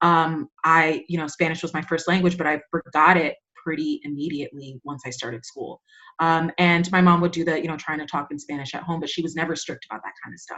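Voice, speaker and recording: A woman with a fairly low pitch speaks at a fairly quick pace, keeping her intonation fairly even. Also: big swings in loudness. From New York, the Bronx (Dominican-American). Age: 30s. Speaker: teacher. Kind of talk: podcast interview. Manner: halting, many fillers.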